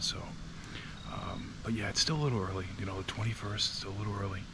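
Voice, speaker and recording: A quiet man's voice at a fairly low pitch, with audible room echo and noticeable background noise. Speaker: hunting vlogger. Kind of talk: casual vlog narration. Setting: outdoors in a tree stand. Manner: quiet, hushed.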